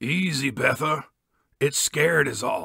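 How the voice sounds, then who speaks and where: A man's put-on character voice, raspy and fairly high-pitched, at a fairly slow pace. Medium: read story.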